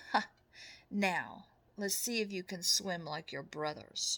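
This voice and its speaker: A put-on character voice at a fairly slow pace. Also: woman, medium pitch for a woman. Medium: read story. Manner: warm, gentle.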